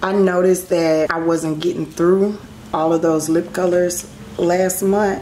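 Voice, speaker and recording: Over noticeable background noise, a woman with a fairly low voice speaks at a fairly slow pace in a flat monotone, her loudness very even throughout. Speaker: beauty vlogger. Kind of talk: casual chat. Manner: casual, chatty.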